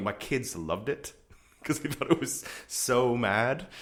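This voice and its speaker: A man talks in an ordinary speaking voice at a medium pitch. His intonation is lively. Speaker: podcast host. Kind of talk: casual interview conversation. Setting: studio.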